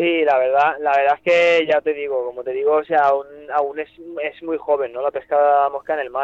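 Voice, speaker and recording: The delivery is monotone, with flat intonation at a fairly quick pace. The sound is dry and close, with no echo. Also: man, fairly high pitch for a man. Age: 20s. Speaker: fly rod seller. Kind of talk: casual interview. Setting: phone call.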